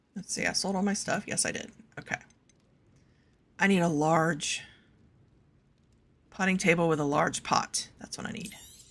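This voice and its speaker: A woman speaks at medium pitch and a moderate pace, with fairly even intonation. Her long, frequent pauses come through noticeable background noise. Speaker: video game streamer. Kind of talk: casual gameplay commentary.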